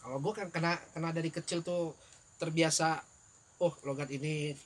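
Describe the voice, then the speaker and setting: The delivery has fairly even intonation and a moderate pace. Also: man, fairly high pitch for a man. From Palembang, Indonesia, childhood in Johor, Malaysia. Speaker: podcast guest, old college friend. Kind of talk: casual chat. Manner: halting.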